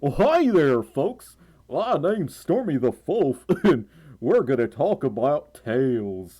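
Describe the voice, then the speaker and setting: Putting on a character voice, a man speaks fairly slowly at a fairly high pitch with very wide pitch swings. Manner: exaggerated, cheery, folksy.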